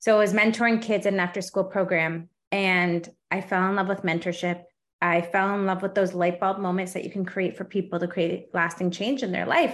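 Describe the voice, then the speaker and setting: In a Canadian accent and a normal speaking voice, a woman speaks at a fairly quick pace and medium pitch with fairly even intonation over a quiet background. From Canada. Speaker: life and business coach. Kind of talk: interview.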